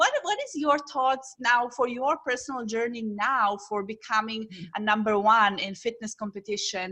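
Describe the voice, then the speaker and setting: Amid noticeable background noise, a woman talks with hardly any pauses in a fairly high voice with ordinary pitch variation. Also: moderate pace. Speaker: parenting coach. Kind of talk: podcast host interview.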